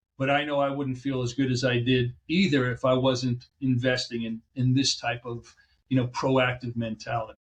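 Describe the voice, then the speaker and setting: A man talks at a moderate pace. His voice is somewhat breathy, with monotone, flat intonation. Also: medium pitch for a man. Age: 60s. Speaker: chiropractic physician. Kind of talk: interview.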